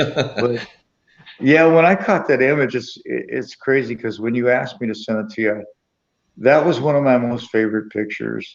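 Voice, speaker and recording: With an American accent, a man speaks at a moderate pace in an unremarkable speaking voice, at medium pitch with ordinary pitch variation. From US Midwest, Springfield, Missouri. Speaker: sports photographer. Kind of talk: interview conversation.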